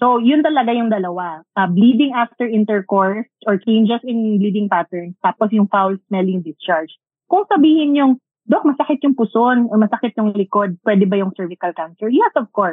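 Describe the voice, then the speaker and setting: In a Filipino accent, a woman speaks at a moderate pace with a fairly high pitch and lively intonation. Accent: Filipino English with Tagalog code-switching. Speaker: doctor specializing in women's health. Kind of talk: casual chat.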